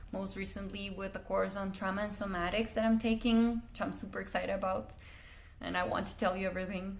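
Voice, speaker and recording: In a Spanish accent, someone talks at a very fast pace with monotone, flat intonation, noticeable background noise and audible room echo. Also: woman, medium pitch for a woman. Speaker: communication coach. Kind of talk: personal story monologue. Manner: hesitant with fillers.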